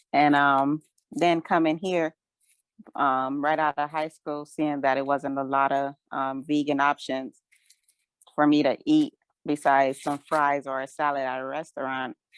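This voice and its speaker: In a dry, close sound with no echo, a woman with a very deep, low pitch speaks at a fairly slow pace in monotone, flat intonation. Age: 20s. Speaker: vegan food truck owner and chef. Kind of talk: interview. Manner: hesitant, many fillers.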